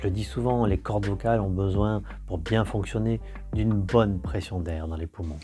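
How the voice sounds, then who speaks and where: Music plays in the background as a man speaks in a very deep, low voice. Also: moderate pace. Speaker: voice coach. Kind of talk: educational talk to camera.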